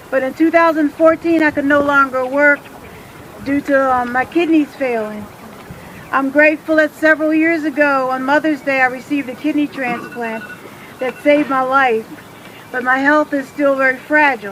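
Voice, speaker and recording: Speaking at a moderate pace over noticeable background noise, a woman keeps a fairly even intonation in her high voice. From Washington, D.C. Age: 60s. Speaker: retiree activist. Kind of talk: rally speech.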